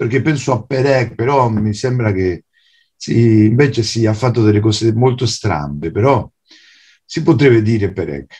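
Against a quiet background, a man with a Spanish accent talks in a fairly low, somewhat breathy voice. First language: Spanish (speaking Italian). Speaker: writer and translator; guest. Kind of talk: lecture. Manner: halting. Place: home room. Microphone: video call.

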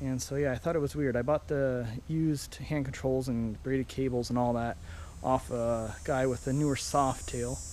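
A man speaks at a moderate pace with fairly even intonation, the sound dry with no echo and light background noise behind him. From Ontario, Canada. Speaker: motorcycle hobbyist vlogger. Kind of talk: casual video walkaround. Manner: halting, many fillers. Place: garden. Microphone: phone near.

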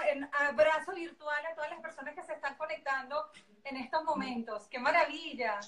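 Raising and projecting her voice, a woman with a Venezuelan accent speaks at a high pitch and a moderate pace in a bright, sharp tone. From Valencia, Venezuela. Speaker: journalist, former beauty queen. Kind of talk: interview answer. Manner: upbeat, expressive. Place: home room. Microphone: video call.

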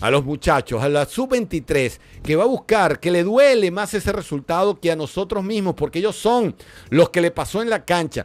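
A man talks at a high pitch and moderate pace. His tone is animated and his intonation lively. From Venezuela. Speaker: football pundit. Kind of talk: solo commentary video. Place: studio. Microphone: studio mic.

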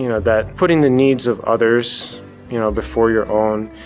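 A man talks with ordinary pitch variation while faint music sounds behind him. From Hawaii. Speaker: army field artillery officer. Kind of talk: interview answer. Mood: warm, smiling. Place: hall.

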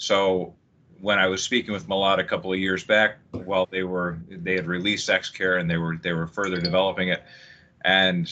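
A man with a very deep, low pitch talks at a moderate pace in a monotone, flat intonation. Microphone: video call.

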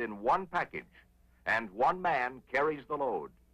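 With a bright, sharp tone and a dramatic, confident delivery, a man speaks at a fairly high pitch with ordinary pitch variation. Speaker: military film narrator. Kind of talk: 1950s air force film narration, scripted and punchy, newsreel-style. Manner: brisk, authoritative, dramatic, formal; confident, upbeat, celebratory at the record.

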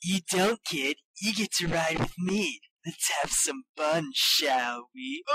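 This put-on character voice is raspy, with a middle pitch. It moves at a fairly slow pace. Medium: dub.

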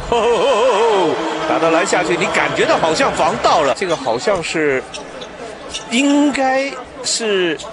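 The delivery is animated and fairly slow, with long, frequent pauses. Noticeable background noise runs underneath. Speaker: sports commentator. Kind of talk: live sports commentary. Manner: animated, excitable.

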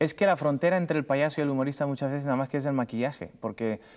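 A man speaks against a quiet background. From Cuba. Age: 30s. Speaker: comedian and TV presenter. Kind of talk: interview answer. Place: studio.

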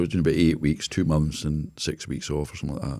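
A man's very deep, low voice, dark and mellow in tone, with a Scottish accent and a quiet background. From Scotland. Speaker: business consultant; podcast guest. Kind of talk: casual interview. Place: studio. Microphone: studio mic.

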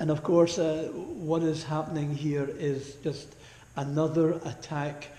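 A man speaks in a flat monotone at a very slow pace. Audible room echo is present. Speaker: preacher. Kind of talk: sermon. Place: church.

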